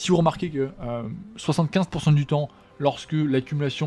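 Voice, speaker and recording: Music plays behind a man who talks at a fairly quick pace. His pitch varies in an ordinary way. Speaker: trading teacher. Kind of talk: lecture. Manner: fast; halting.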